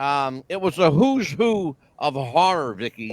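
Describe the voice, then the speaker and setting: The sound is dry and close, with no echo. A man speaks at a fairly high pitch. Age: 60s. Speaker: talk show co-host. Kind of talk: casual chat. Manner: animated.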